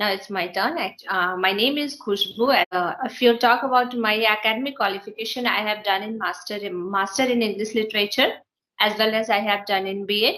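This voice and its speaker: Her pitch fairly high with ordinary variation, a woman with a northern Indian accent speaks at a fairly quick pace. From India, Bihar. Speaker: English teacher. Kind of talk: casual English practice conversation. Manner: halting, hesitant.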